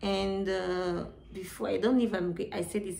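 The voice has a dark, mellow tone, fairly even intonation and a moderate pace. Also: woman. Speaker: beauty YouTuber; hair care vlogger. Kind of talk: tutorial. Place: home room. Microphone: phone near.

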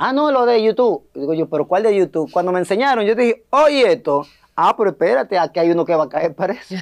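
A man's voice, high-pitched for a man, at a very fast pace with lively intonation over a quiet background. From Dominican Republic. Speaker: comedian and scriptwriter; comedian. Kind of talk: interview. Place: studio. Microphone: lapel.

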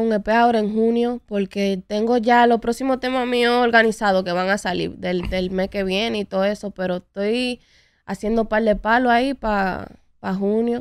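In a quiet background with dry sound and no echo, a woman speaks at a fairly high pitch and moderate pace with fairly even intonation. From New York, US (Dominican family). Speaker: urban music singer and songwriter; guest. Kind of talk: interview. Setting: studio. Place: studio. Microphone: studio mic.

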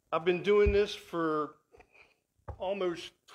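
With ordinary pitch variation, a man talks at a very slow pace in a high pitch. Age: 50s. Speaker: guest speaker; guest. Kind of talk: sermon. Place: church.

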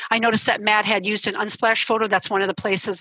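Against a quiet background, a woman speaks at a very fast pace in a bright, sharp tone with monotone, flat intonation and a dry sound with no echo. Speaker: journalism professor; instructor presenting in an online training session. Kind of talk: software tutorial. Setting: video call. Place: home room. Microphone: headset.

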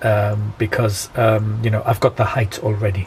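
Over light background noise, a man speaks with a British accent. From UK. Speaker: amateur radio operator and YouTuber. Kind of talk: tutorial. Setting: at home, filmed demonstration. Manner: halting, many fillers. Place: home room. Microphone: phone near.

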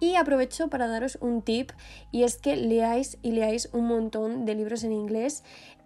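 Speaking at a fairly slow pace with a Spanish accent, a woman has a fairly high pitch, ordinary pitch variation and a dark, mellow tone. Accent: Peninsular Spanish. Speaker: fashion and lifestyle youtuber. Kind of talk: vlog voiceover.

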